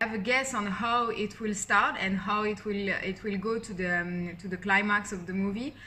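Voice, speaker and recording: A woman with a strong French accent, fairly even intonation and hardly any pauses, over noticeable background noise. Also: medium pitch for a woman, moderate pace. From France. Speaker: YouTuber, film fan commentator. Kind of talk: casual vlog theory breakdown. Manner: hesitant, many fillers.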